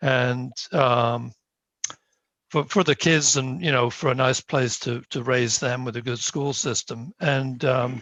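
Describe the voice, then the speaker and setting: A British accent with fairly even intonation at a very slow pace. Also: man, medium pitch for a man. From United Kingdom. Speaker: town planning board member. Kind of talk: self-introduction at a meeting. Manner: hesitant, many fillers.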